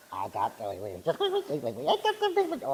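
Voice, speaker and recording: A man rattles along at a very fast pace in a put-on character voice. He breaks into cackling. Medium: stage play. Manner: cackling, teasing.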